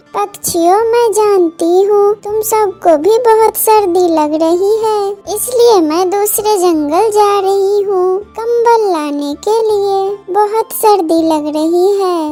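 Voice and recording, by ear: A woman puts on a cartoonish character voice at an extremely high pitch. She speaks at a very slow pace. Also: ordinary pitch variation.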